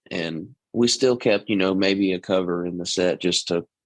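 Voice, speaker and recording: A man with a Texas accent and a very deep, low pitch talks at a fairly slow pace. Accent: Texas twang, natural. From East Texas. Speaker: country singer. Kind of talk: interview. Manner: casual, with many fillers.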